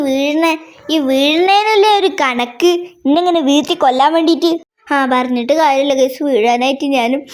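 A woman's high-pitched voice with very even loudness. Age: 20s. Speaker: gaming YouTuber. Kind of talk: gameplay commentary with roleplay voices. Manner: animated.

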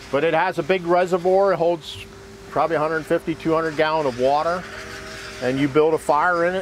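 The speech runs at a fairly quick pace. The sound is dry with no echo, and there is light background noise. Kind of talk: interview answer. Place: open country.

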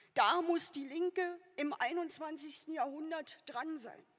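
Against a quiet background, a woman speaks at an extremely high pitch with ordinary pitch variation. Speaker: politician giving a candidacy speech. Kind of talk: political speech. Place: hall. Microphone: podium.

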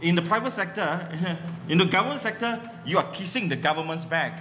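With an animated tone and a Malaysian accent, a man speaks at a high pitch with ordinary pitch variation, amid audible room echo and light background noise. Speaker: comedy workshop founder and comedian; comedian. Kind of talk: stand-up comedy. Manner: animated, joke-heavy. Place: stage. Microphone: camera far.

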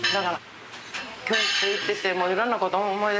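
Over loud background noise, a woman speaks at a fairly quick pace in a Kansai accent. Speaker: former volleyball player. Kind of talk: interview answer. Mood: reflective, earnest. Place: home room.

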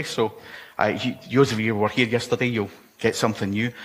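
A man with a Scottish accent speaks at a fairly low pitch. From Scotland. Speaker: conference speaker. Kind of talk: technical conference talk. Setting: stage with audience. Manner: fast. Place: hall.

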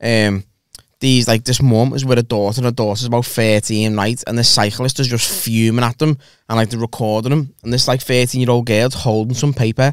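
A man speaks at a fairly quick pace with fairly even intonation. The sound is dry with no echo, over a quiet background. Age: 30s. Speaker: comedian podcast host. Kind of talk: casual chat. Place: studio. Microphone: studio mic.

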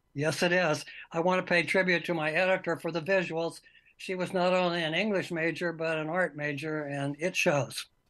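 This man's voice sits high in pitch and stays monotone, with flat intonation. He speaks at a moderate pace. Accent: American. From Iowa, US Midwest. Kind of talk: interview reading aloud excerpts.

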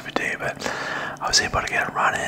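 A man whispering. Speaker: vlogger. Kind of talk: casual vlog chat. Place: home room. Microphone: studio mic.

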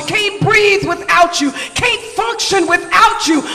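Projecting a raised voice at an extremely high pitch, a man speaks over light background noise. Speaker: church leader giving opening prayer. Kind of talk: fervent charismatic prayer. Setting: church. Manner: fervent, exclamatory. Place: church.

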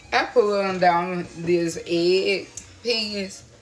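Speech moves at a very slow pace with fairly even intonation against noticeable background noise. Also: woman. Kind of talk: casual vlog chat. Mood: relaxed, playful. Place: kitchen. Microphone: phone near.

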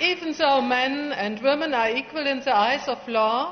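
Over light background noise, a woman with a high-pitched voice speaks at a moderate pace with ordinary pitch variation. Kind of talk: formal ceremony speech. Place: hall. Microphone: podium.

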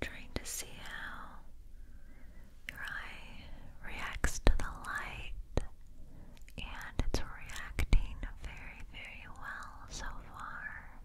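Whispering and soft-spoken, a woman moves at a very slow pace with long, frequent pauses over noticeable background noise. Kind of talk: soft-spoken roleplay. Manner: soft, close ASMR near-whisper. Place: home room.

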